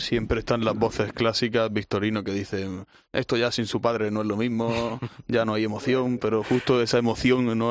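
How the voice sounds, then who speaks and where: Over a quiet background, a man with a fairly low pitch talks at a fairly quick pace in a monotone, flat intonation. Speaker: bullfighting analyst. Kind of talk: casual chat.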